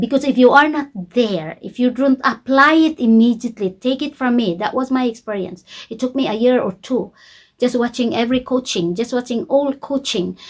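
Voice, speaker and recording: A woman's fairly high voice with a non-native accent, ordinary pitch variation and a fairly slow pace. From Philippines. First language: not English. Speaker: YouTube coach. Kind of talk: tutorial. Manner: slow, simple English.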